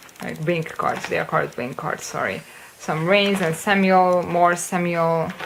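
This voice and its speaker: A woman with a fairly low pitch speaks at a moderate pace against noticeable background noise. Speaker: kpop collector vlogger. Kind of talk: casual show-and-tell vlog. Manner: hesitant fillers, um and uh.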